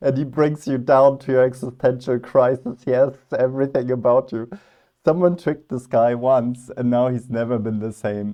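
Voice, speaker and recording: A man with a non-native accent speaks at a moderate pace, his medium pitch carrying fairly even intonation. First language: not English. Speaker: philosophy youtuber. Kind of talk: reaction video commentary. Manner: casual, hesitant with fillers.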